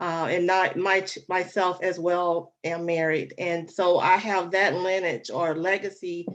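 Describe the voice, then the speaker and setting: This woman speaks at a medium pitch and a fairly slow pace, her intonation monotone and flat. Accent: slight Alabama. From US South, Alabama. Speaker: relationship coach. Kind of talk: interview.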